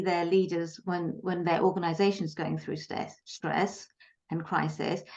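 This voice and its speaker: A woman's voice with a British accent and fairly even intonation. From Britain. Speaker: leadership and communications coach. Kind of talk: interview. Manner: many filler words (um, uh).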